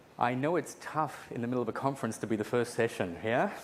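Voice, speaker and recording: A man speaks at a medium pitch with an American accent. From Australia. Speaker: conference speaker, database expert. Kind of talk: conference lecture. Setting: conference session with live audience.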